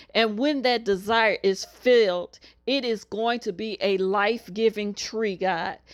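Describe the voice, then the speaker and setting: Against a quiet background, a woman with a fairly high pitch and a plain, everyday voice speaks at a fairly slow pace. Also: ordinary pitch variation. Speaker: minister leading weekly prayer. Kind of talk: fervent prayer and decree, urgent, pleading, declaring blessings. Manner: fervent; declarative, repetitive.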